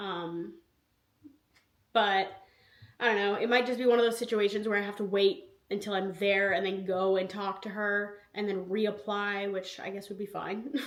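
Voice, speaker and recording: A woman talks at a moderate pace with long, frequent pauses. Her intonation is monotone and flat, and the room echo is audible. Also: medium pitch for a woman. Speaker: lifestyle vlogger. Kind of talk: casual vlog talk.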